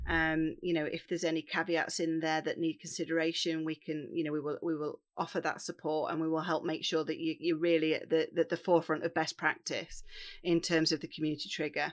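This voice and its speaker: Using monotone, flat intonation, a woman with an East Midlands accent talks fairly quickly at a fairly low pitch with hardly any pauses, on a very clean recording with a silent background. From Derbyshire, England (Bakewell). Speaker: charity victim support manager. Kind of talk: interview conversation.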